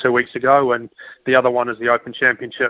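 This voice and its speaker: Monotone, flat delivery from a man at a medium pitch. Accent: New Zealand. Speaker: professional golfer. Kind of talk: radio interview.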